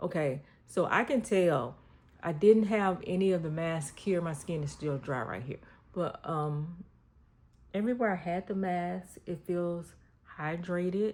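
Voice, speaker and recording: Speaking at a fairly slow pace with long, frequent pauses, a woman uses a fairly low pitch and ordinary pitch variation. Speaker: lifestyle vlogger. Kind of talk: casual talk to camera.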